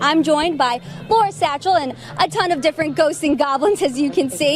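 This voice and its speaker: Fairly quick speech over music playing in the background. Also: woman. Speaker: TV news anchor and reporter. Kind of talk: TV news anchoring and reporting.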